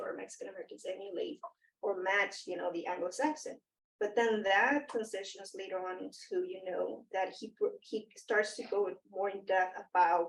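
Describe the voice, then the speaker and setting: A woman speaks with a Spanish accent at a moderate pace. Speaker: academic panelist. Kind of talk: panel discussion. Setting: in-person round table. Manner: halting, many fillers.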